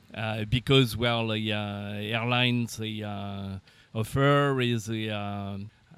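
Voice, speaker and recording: A man is speaking. He has a French accent. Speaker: aircraft manufacturer representative. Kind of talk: interview. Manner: halting, many fillers.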